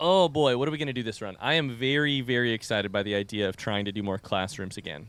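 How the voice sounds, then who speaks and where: Very fast speech from a man at a medium pitch, with lively intonation and hardly any pauses. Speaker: gaming streamer. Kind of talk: let's play commentary.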